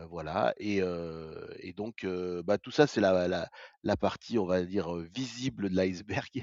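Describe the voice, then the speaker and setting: Speaking at a very slow pace, a man with a very deep, low pitch shows ordinary pitch variation and big swings in loudness. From France, Vosges. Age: 60s. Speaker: retired paralympic athlete. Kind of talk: interview. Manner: halting, many hesitations.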